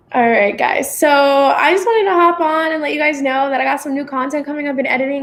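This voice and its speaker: Speaking at a very fast pace, a woman uses a high pitch. Her pitch variation is ordinary. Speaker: vlogger / live streamer. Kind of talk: casual livestream chat. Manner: rambling, filler-heavy.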